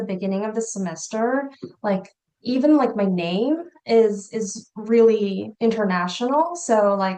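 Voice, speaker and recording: Her pace fairly slow, a woman talks with ordinary pitch variation. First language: not English. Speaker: educational psychology instructor. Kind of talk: panel discussion.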